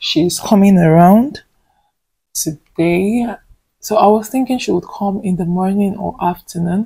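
A woman's somewhat breathy, dark and mellow voice in a Nigerian accent, fairly slow, with ordinary pitch variation over a quiet background. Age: 20s. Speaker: vlogger, nursing student; vlogger. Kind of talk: casual vlog talk to camera. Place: home room. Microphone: phone near.

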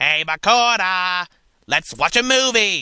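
Here a man puts on a character voice. His pitch sits high. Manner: funny, playful.

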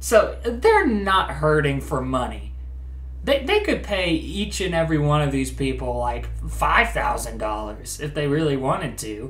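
A man speaks at a fairly slow pace while noticeable background noise carries on behind him. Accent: American. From US Midwest. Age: 20s. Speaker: YouTuber, comedian. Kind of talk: reaction video commentary.

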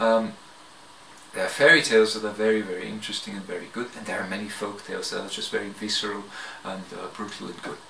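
A man talks at a fast pace with a fairly low pitch, little pitch movement, and vocal fry. His tone is bright and sharp, and audible room echo is present.

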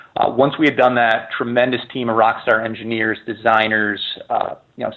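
This man has a medium pitch and speaks at a moderate pace. His intonation is monotone and flat. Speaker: video game producer. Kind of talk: interview. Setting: phone call.

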